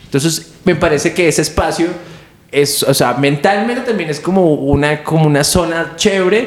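Audible room echo surrounds a man's voice. He speaks at a fairly high pitch and fairly slow pace, with ordinary pitch variation. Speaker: stand-up comedian. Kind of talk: casual chat.

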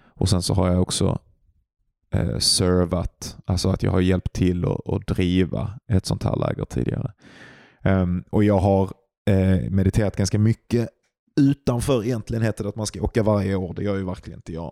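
A man with a very deep, low voice talks at a moderate pace with ordinary pitch variation and long, frequent pauses. The sound is dry and close with no echo, and music plays in the background. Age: 30s. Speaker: podcast co-host, meditation practitioner. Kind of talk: casual chat.

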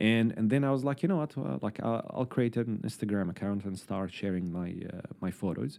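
A man with an Arabic accent speaks with a dark, mellow tone and lively intonation, leaving hardly any pauses. The recording is very clean, with a silent background. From Syria. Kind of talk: interview, conversational. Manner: hesitant, many fillers.

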